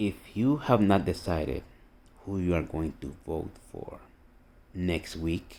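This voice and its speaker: A man's very deep, low voice with a dark, mellow tone, lively intonation, a very slow pace, and long, frequent pauses. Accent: Costa Rican. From Costa Rica. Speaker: army veteran and political video blogger. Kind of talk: political rant monologue. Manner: animated.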